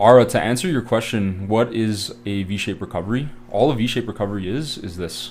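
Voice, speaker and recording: With a Canadian accent, a man with an ordinary speaking voice talks at a fairly quick pace, his fairly low pitch showing ordinary pitch variation. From Canada. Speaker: forex trading educator. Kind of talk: live trading tutorial. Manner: casual, filler-heavy.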